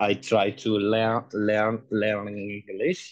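A man with a fairly low pitch. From Iran. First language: Persian. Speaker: human rights activist. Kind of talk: testimony. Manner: halting.

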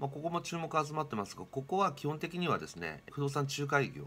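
Speaking at a fairly quick pace is a man. He keeps that pace throughout. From Japan. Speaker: real estate tech company presenter; presenter. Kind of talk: explainer video monologue. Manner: casual, many fillers. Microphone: webcam.

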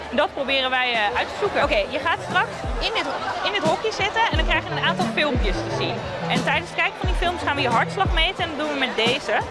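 A woman talking at a very fast pace over loud music in the background. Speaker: researcher. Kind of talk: interview answer and instructions to test subject. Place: hall.

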